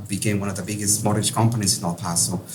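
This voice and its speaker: With a strong Peruvian accent, a man speaks amid audible room echo and noticeable background noise. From Peru, Lima. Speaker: real estate investor. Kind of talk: interview. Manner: hesitant with many fillers.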